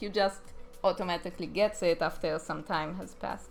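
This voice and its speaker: With music playing behind her, a woman speaks at a moderate pace and medium pitch with an Israeli accent. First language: Hebrew. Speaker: animator. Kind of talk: live stream chat. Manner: casual, hesitant with fillers.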